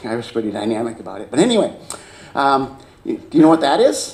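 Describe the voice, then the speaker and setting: Someone with an American accent talks at a very fast pace, with audible room echo and noticeable background noise. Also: man. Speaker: agricultural expert. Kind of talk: conference talk. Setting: stage with audience.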